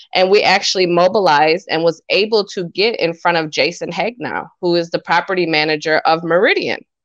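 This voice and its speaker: A woman's normal speaking voice with an American accent, fairly low in pitch, fairly quick, with hardly any pauses and fairly even intonation. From Wisconsin, small town north of Madison. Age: young. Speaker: political candidate and community activist. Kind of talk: radio interview.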